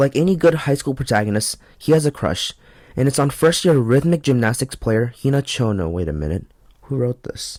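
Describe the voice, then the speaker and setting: A man talks at a fairly quick pace in a medium pitch, his voice shaky, his tone nervous and his intonation lively. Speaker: anime and manga reviewer. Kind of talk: review monologue. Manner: shaky voice, nervous first video.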